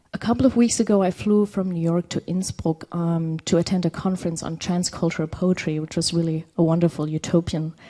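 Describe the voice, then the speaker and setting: Her voice is fairly low for a woman, with a dark, mellow tone and fairly even intonation. She speaks at a fairly quick pace with hardly any pauses. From Berlin, East Germany. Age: 30s. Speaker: poet and translator. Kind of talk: reading a prepared talk.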